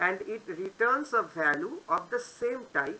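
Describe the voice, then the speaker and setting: The pitch here swings very widely. It belongs to a woman. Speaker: coding tutorial youtuber. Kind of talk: tutorial. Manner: halting.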